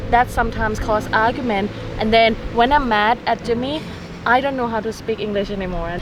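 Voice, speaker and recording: With a Thai accent, a woman speaks at a fairly high pitch and fairly even intonation against noticeable background noise. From Thailand. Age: 20s. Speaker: travel vlogger. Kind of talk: casual chat. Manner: halting.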